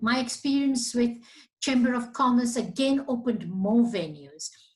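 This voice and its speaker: Speaking at a moderate pace, a woman has a fairly high, somewhat breathy voice. Room echo is audible. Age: 60s. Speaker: business association CEO. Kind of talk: interview.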